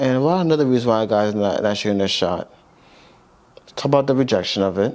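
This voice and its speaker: Over noticeable background noise, a man talks very fast at a medium pitch, with lively intonation and very even loudness. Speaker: podcast co-host. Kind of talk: casual chat.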